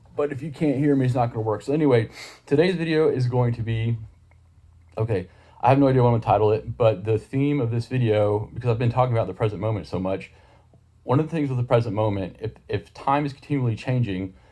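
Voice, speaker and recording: Mumbling at a very fast pace, a man talks in a somewhat breathy, dark and mellow voice at a medium pitch with ordinary pitch variation. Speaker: YouTuber explaining ideas. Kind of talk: casual monologue to camera. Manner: mumbling at points.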